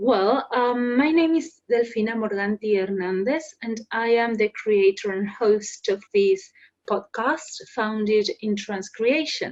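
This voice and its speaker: A woman with a Spanish accent, fairly high in pitch with ordinary variation, at a very slow pace. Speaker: podcast host and transcreator. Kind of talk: podcast monologue.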